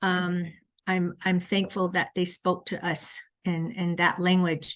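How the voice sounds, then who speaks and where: A woman with a Southwestern US accent speaks very slowly at a medium pitch. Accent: Navajo-accented English. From Navajo Nation, Red Mesa area (US Southwest). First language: Navajo. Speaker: education researcher. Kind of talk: lecture. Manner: hesitant, frequent 'um' fillers.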